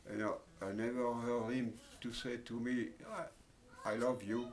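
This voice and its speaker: Audible room echo surrounds a man speaking with a French accent. His medium-pitched voice stays monotone and flat. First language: Italian, then French. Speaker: interviewee, former factory worker. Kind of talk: life story interview. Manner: halting, many fillers.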